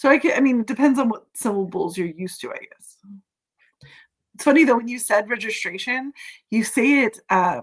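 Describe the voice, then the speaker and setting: A woman speaks with a West Coast US accent and an animated tone. Her voice is somewhat breathy, with lively intonation. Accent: General American (West Coast). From California, US. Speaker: live streamer. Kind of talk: casual chat. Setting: live stream video call.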